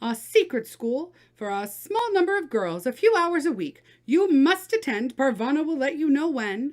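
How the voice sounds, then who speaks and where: A woman's high, put-on character voice with very wide pitch swings, moderate pace and hardly any pauses. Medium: read story.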